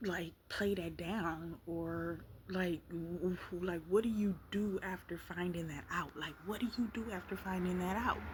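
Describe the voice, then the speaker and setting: A soft-spoken woman with a somewhat breathy, fairly low voice speaks in a fairly even tone with hardly any pauses. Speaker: vlogger. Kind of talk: casual chat. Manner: halting.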